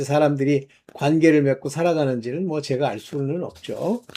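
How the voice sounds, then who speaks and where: A man speaks at a moderate pace in a dark, mellow tone. The recording is very clean, with a silent background. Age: 60s. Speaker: online preacher. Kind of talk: sermon-style monologue. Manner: casual, halting with fillers.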